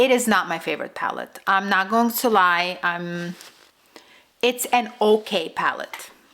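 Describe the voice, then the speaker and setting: A woman speaks at a fairly slow pace with a Russian accent. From Russian-speaking immigrant family, raised speaking Russian. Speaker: beauty youtuber. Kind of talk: makeup tutorial and product review. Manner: casual, hesitant with fillers.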